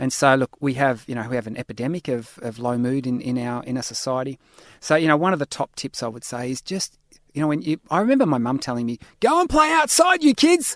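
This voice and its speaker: A man with an Australian accent talks at a very fast pace and medium pitch, with ordinary pitch variation, in a very clean recording with a silent background. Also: dry, close sound with no echo. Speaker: lifestyle medicine academic and author. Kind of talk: interview.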